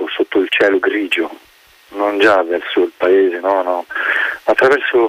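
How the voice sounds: This is a natural reading voice. It is heard throughout.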